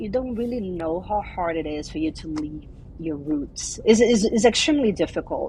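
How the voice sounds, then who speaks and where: A woman talks at a moderate pace, her voice somewhat breathy and her pitch variation ordinary. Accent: Portuguese. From Brazil. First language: Portuguese. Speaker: immigration attorney. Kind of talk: interview. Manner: halting.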